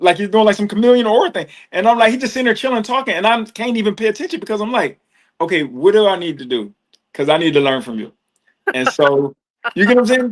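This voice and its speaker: A man speaks very fast in a high voice, his pitch swinging very widely. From US Northeast, Trenton, New Jersey. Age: 40s. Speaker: yoga and meditation teacher. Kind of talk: casual interview chat. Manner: casual, slangy.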